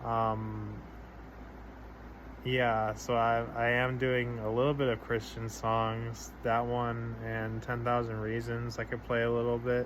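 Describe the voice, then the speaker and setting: Audible room echo colors the recording. A man talks at a very slow pace. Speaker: vlogger sharing personal update. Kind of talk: casual personal vlog. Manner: halting, many fillers; somber.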